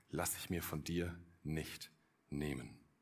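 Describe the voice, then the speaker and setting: Vocal fry runs through a man's very deep, low voice, which has a warm tone and ordinary pitch variation. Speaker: pastor. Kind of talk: sermon, earnest and direct, addressing the congregation as 'du' with appeals to decide. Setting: church. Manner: persuasive, warm, urgent, with emphatic repetition.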